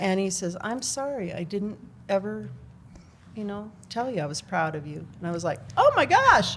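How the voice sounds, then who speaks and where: With an American accent and lively intonation, a woman talks in big swings of loudness over noticeable background noise. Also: medium pitch for a woman, moderate pace. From Washington state. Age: 60s. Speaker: teacher. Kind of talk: casual chat.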